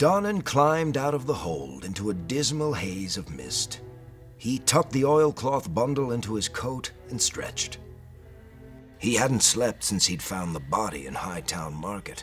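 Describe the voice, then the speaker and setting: Music plays in the background as a man speaks at a fairly slow pace. His medium-pitched voice moves through very wide pitch swings. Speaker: voice actor reading a book excerpt. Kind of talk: dramatic reading of a prose excerpt. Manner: expressive storytelling.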